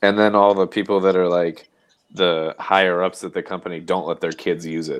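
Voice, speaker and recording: Monotone, flat delivery at a moderate pace against a quiet background. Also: man, very deep, low pitch for a man. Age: 30s. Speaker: panel regular. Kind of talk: casual chat.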